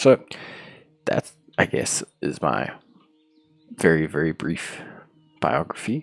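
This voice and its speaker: A man's very deep, low voice in a South African accent, at a very slow pace, dry and close with no echo, with music in the background. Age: 30s. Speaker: YouTuber, gaming channel host. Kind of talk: casual personal vlog talk.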